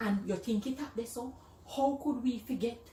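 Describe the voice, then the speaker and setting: A woman speaks with a Jamaican accent at a high pitch and a moderate pace. Her tone is animated and playful, with lively intonation. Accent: Jamaican Patois. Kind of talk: comedic skit monologue, birthday dedication. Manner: animated, playful storytelling.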